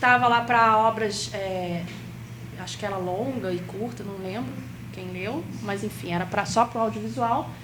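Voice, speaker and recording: A woman speaks at a fairly slow pace with a Rio de Janeiro accent. Her loudness swings widely, and the room echo is audible. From Rio de Janeiro, Brazil. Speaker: workshop instructor on cultural funding. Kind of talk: workshop lecture.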